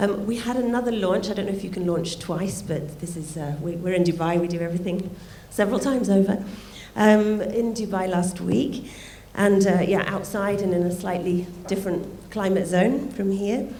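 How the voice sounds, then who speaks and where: Audible room echo surrounds a woman speaking at a moderate pace. Her pitch is medium, with ordinary pitch variation. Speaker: art fair director. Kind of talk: welcome speech.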